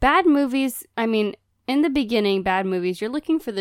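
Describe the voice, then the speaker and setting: A woman with a plain, everyday voice speaks at a moderate pace with lively intonation, the recording very clean with a silent background and a dry, close sound with no echo. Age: 20s. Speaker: podcast co-host and actress. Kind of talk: casual chat.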